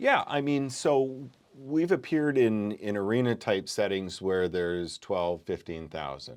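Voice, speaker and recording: At a fairly slow pace, a speaker with a Canadian accent moves through very wide pitch swings on a very clean recording with a silent background. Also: man, fairly low pitch for a man. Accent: Canadian, moderate. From Canada, small town in Alberta. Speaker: curler and law academic. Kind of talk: casual interview.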